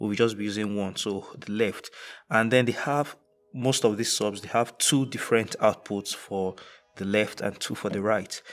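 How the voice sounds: A man talks at a fairly slow pace with a fairly low pitch and fairly even intonation.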